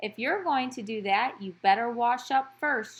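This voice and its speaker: A woman puts on a character voice with a high pitch. She talks at a moderate pace. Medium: read story. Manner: brisk, folksy.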